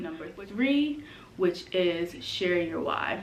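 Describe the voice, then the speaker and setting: A woman with a medium-pitched voice speaks amid audible room echo. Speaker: brand strategist and coach. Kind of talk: vlog tutorial.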